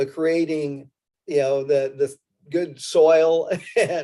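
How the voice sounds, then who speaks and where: A man with an unremarkable speaking voice, fairly high in pitch, with fairly even intonation. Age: 60s. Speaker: panel moderator. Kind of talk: panel discussion.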